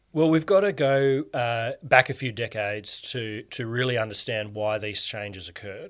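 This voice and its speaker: The recording is very clean, with a silent background, as a man speaks at medium pitch and a moderate pace. His loudness swings widely, while his pitch varies in an ordinary way. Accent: Australian. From Australia (Canberra). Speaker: communications expert and author. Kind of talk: interview. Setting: in person. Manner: hesitant, many fillers.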